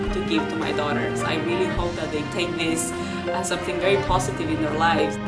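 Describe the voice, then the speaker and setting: Loud music plays in the background as a woman talks at a fairly quick pace. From Uruguay. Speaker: university professor of English and sociolinguistics. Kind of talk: interview answer. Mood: warm, positive. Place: studio.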